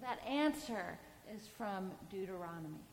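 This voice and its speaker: Over audible room echo, a woman speaks at a very slow pace with lively intonation. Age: 50s. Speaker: priest. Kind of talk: sermon.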